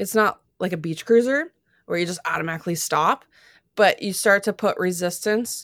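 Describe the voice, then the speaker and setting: A woman with an American accent and an unremarkable speaking voice, medium in pitch, with ordinary pitch variation at a moderate pace. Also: very clean recording, silent background. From US, Florida. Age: 30s. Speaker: track cycling sprinter. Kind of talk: interview. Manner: casual, uses filler 'like'.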